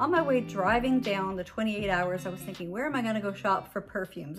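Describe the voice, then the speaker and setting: A woman at a fairly quick pace with ordinary pitch variation, music playing in the background. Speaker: fragrance vlogger. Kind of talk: casual vlog chat. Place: home room. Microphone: phone near.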